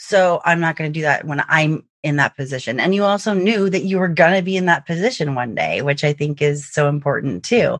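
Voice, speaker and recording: A woman with an ordinary speaking voice talks at a fairly quick pace with hardly any pauses, at a fairly low pitch with ordinary pitch variation. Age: 40s. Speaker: fraud prevention podcast host. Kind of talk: casual interview chat.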